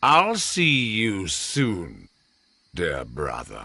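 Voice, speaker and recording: A man's growling, put-on character voice at a medium pitch. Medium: video game. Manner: cool, superior.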